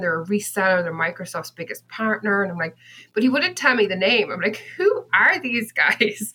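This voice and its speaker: Bright, sharp tone in a woman's mid-pitched voice. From Ireland, County Kilkenny. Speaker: tech industry alliance manager. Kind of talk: casual interview. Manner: animated, laughs often.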